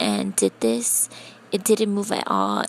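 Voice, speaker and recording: A woman speaks quietly. Noticeable background noise runs underneath. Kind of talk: casual tutorial talk to camera. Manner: quiet, low voice.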